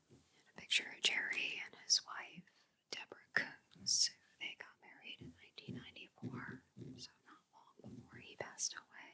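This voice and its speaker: A woman whispers at a moderate pace. Her loudness swings widely. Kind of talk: ASMR magazine flip-through. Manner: whispered, soft-spoken.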